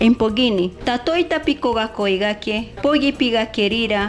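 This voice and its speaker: With music in the background, a woman at a fairly high pitch talks at a moderate pace with ordinary pitch variation. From Peruvian Amazon, Kirigueti. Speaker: teacher. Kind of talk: voice-over math lesson for children.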